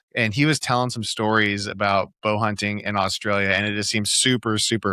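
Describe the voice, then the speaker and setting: In a West Coast accent, the speaker's bright, sharp voice runs at a moderate pace in a monotone, flat delivery, dry and close with no echo, on a very clean recording with a silent background. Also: man. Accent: American West Coast. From US Pacific Northwest, Oregon. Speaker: podcast host. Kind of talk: casual interview chat.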